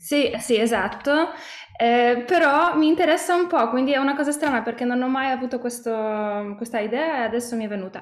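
There is audible room echo around this woman's voice. She speaks at a high pitch with ordinary pitch variation. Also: quiet background. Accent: Polish. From Poland. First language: Polish (speaking Italian). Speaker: singer-songwriter; interviewee. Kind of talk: interview. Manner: halting, with many hesitations. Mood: calm, friendly. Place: home room. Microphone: video call.

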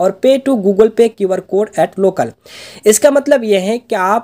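This man's voice sits at a high pitch. Its tone is dark and mellow. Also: dry, close sound with no echo. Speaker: YouTube tech tutorial creator. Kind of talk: tutorial.

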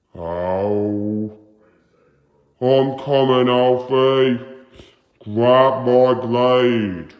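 A man's put-on character voice at a medium pitch, very slow, with long, frequent pauses and a slight echo. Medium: dub. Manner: proud, boastful.

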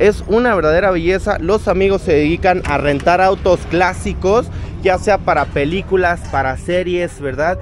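A man speaks at a moderate pace in a high voice with ordinary pitch variation and very even loudness, the sound dry with no echo over light background noise. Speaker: car vlogger. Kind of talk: casual vlog chat. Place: market. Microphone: phone near.

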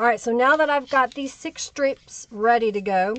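Lively intonation marks this woman's voice, recorded with a dry sound with no echo. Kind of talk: tutorial. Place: home room.

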